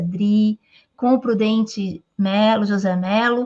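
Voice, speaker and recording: A woman speaks with a somewhat breathy voice against a quiet background. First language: Portuguese (speaking Spanish). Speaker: interviewer. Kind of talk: interview.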